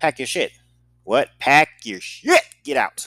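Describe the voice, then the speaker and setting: An American man with a bright, sharp tone comes through on a very clean recording with a silent background and a dry, close sound with no echo. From US Midwest, St. Louis. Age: 30s. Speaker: podcast host. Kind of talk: solo storytelling podcast.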